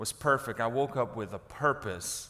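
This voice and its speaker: This is a man speaking. His intonation is lively. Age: 30s. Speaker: pastor. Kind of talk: sermon. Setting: church. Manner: animated. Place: church.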